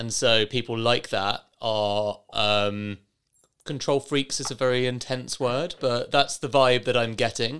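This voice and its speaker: This man has an ordinary speaking voice. His pitch is medium and his intonation fairly even. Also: fairly slow pace. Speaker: podcast host. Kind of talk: interview.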